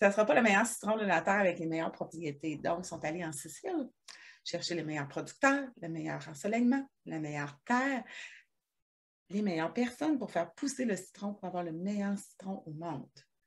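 A woman speaks at a medium pitch, somewhat breathy, with very wide pitch swings. Her speech has long, frequent pauses. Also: moderate pace, very clean recording, silent background. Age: 40s. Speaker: hair extension technician, wellness consultant, podcast co-host. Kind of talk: casual chat. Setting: her shop, recording at a computer.

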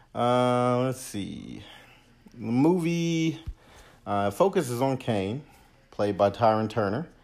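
A man with an American accent speaks at a very slow pace, leaving long, frequent pauses. His pitch sits in the medium range. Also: lively intonation. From Los Angeles, US. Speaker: movie review podcast host. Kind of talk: casual solo movie review. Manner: casual, many filler hesitations.

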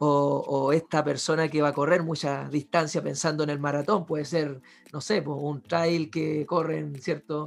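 At a fairly high pitch, a man speaks with monotone, flat intonation. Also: fairly slow pace. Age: 30s. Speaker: podcast host and physiotherapist. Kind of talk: casual interview.

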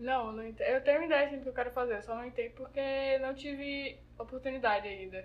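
A woman with a high pitch talks at a fairly quick pace with hardly any pauses, fairly even intonation, and big swings in loudness. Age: young. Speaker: guest, recent high school graduate. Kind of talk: casual chat.

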